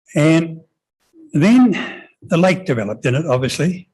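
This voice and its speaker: A fairly slow pace in a New Zealand accent. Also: man. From New Zealand, New Plymouth. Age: 80s+. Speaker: member of the public at a council hearing. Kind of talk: hearing submission. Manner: halting.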